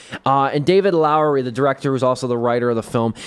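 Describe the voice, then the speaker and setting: A man speaks at a medium pitch. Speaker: radio host. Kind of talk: radio show film review. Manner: casual, conversational.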